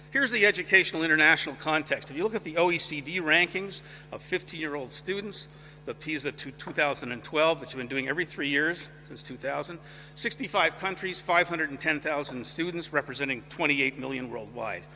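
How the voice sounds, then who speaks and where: A man talks very fast in a fairly high, bright, sharp voice with vocal fry and ordinary pitch variation. His loudness swings a lot. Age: 60s. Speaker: music professor. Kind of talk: lecture. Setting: concert hall with audience.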